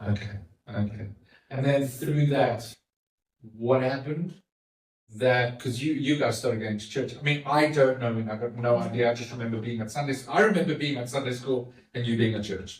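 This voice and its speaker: With a normal speaking voice, a man talks at a fairly quick pace, using medium pitch and ordinary pitch variation. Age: 50s. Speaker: podcast host. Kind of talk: interview with his mother.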